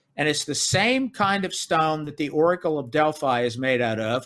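With an ordinary speaking voice, a man talks at a fairly high pitch with ordinary pitch variation. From US South, Memphis, Tennessee. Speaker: author and researcher. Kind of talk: interview. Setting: remote call.

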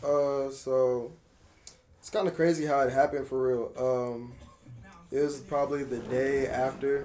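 A man with a fairly high voice speaks at a fairly slow pace, leaving long, frequent pauses, his intonation fairly even over noticeable background noise. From Berkeley, California. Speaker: former college athlete, student. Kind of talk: casual chat.

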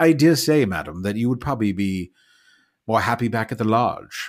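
A normal speaking voice with lively intonation comes through at a fairly quick pace, recorded very cleanly over a silent background. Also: man. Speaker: tabletop role-playing game player. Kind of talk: actual-play tabletop role-playing session.

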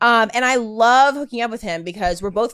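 Using a plain, everyday voice, a woman speaks at a moderate pace with ordinary pitch variation on a very clean recording with a silent background. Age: 20s. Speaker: sex worker. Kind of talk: casual chat.

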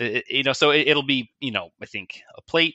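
This man, with an American accent, talks at a moderate pace with ordinary pitch variation. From USA. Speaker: author. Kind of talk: casual chat. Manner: halting.

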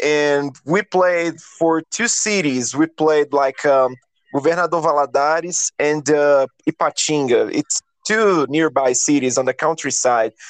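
With a Brazilian accent, a man of fairly high pitch speaks at a fairly slow pace with ordinary pitch variation and very even loudness, the sound dry and close with no echo over a quiet background. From Minas Gerais, Brazil. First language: Portuguese. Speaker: guitarist and songwriter. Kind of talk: casual interview. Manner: halting, searching for words.

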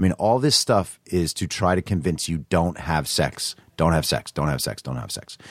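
Speaking at a moderate pace with hardly any pauses, a man with a very deep, low pitch and vocal fry keeps his intonation lively, the sound dry and close with no echo. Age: 30s. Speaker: writer and party promoter. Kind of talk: casual chat.

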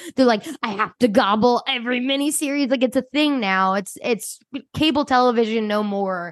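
A woman with a high voice speaks at a moderate pace with ordinary pitch variation over a quiet background. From US, Delaware County, Pennsylvania. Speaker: podcast co-host. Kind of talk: casual chat.

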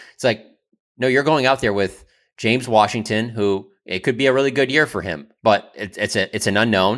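An unremarkable speaking voice from a man at medium pitch, moderate pace and ordinary pitch variation. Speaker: podcast co-host. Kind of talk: casual sports talk.

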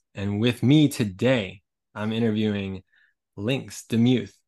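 In an American accent, a normal speaking voice moves at a fairly slow pace with ordinary pitch variation against a quiet background. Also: man. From US, Colorado. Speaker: podcast host and visual artist. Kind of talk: scripted intro/outro; podcast interview.

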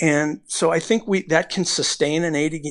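Against a quiet background comes a plain, everyday voice. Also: man. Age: 50s. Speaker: baseball pitching coach. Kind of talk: casual interview.

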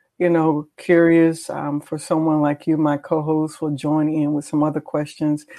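A woman speaks at a fairly slow pace in a fairly low pitch. She has an unremarkable speaking voice. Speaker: talk show host. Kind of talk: casual chat. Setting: video call.

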